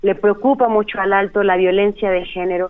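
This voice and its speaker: Here is a plain, everyday voice with fairly even intonation. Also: woman. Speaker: human rights lawyer. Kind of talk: radio interview.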